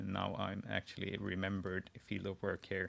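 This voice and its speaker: A man talks at a fairly slow pace in a Swedish accent, with vocal fry. The recording is very clean, with a silent background. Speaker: wiki editor live-streaming. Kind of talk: live screen-share tutorial. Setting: live stream. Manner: halting, many restarts.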